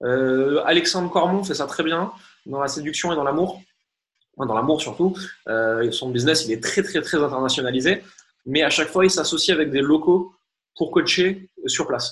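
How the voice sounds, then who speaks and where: With long, frequent pauses, a man talks at a moderate pace and a fairly high pitch, with ordinary pitch variation. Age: 30s. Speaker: marketing coach and entrepreneur. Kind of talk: interview.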